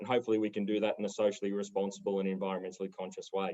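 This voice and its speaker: A man with an Australian accent speaks over a quiet background. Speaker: property developer. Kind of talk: panel discussion.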